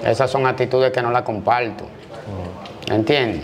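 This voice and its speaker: Faint background music behind a man speaking at a moderate pace with fairly even intonation. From Dominican Republic, Santo Domingo (Gualey); Dominican Republic. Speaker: former prison inmate and street figure; interview guest. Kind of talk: interview testimony. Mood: firm, self-assured.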